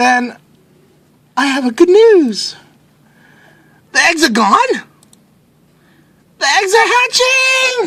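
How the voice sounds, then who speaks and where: In a put-on character voice, the speaker goes very slowly at an extremely high pitch with very wide pitch swings and long, frequent pauses. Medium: read story. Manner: calm, upbeat.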